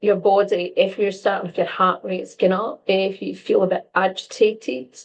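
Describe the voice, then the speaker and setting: A woman with an unremarkable speaking voice at medium pitch, speaking at a moderate pace. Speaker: empath coach and stress coach. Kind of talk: casual advice talk to camera.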